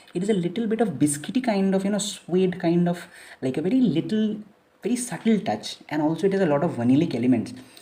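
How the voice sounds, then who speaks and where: A woman with a fairly low, dark, mellow and somewhat breathy voice speaks very fast with very wide pitch swings. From India, Kolkata. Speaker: fragrance reviewer. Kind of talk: product review. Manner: casual, with many fillers.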